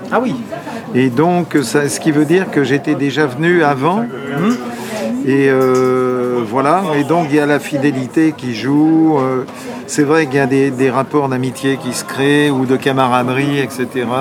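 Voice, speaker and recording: A man speaks at a very slow pace in a fairly high pitch, with ordinary pitch variation. Music plays in the background. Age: 70s. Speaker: comic book artist. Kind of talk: interview.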